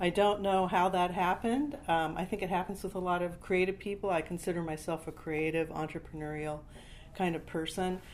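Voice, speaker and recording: In a plain, everyday voice, a woman with an American accent speaks at a fairly quick pace. Her pitch is fairly low, with ordinary pitch variation. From California. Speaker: startup founder and career coach. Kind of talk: interview.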